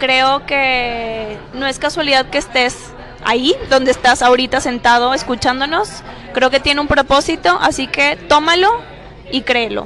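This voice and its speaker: At a fairly slow pace, a woman with a high pitch and ordinary pitch variation speaks over noticeable background noise. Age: 20s. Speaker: nutritionist. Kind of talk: casual interview. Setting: café.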